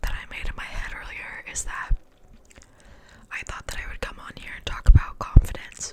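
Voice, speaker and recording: Against noticeable background noise, a woman's whisper moves at a moderate pace. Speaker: ASMR creator. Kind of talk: ASMR whisper ramble. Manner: soft-spoken, whispered, casual, rambling.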